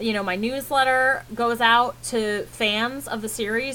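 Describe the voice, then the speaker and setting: The speaker is a woman with a fairly high pitch. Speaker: fiction author teaching writing business. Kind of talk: tutorial. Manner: fast; casual, hesitant with fillers.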